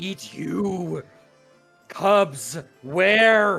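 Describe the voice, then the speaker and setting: A man puts on a gruff character voice at a high pitch. Faint music plays in the background. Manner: threatening.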